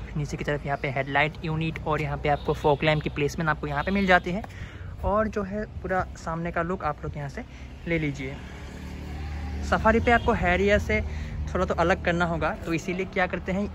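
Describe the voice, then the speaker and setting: A man at a moderate pace, dry sound with no echo, noticeable background noise underneath. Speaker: car reviewer. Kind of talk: product walkaround commentary. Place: street. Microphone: phone near.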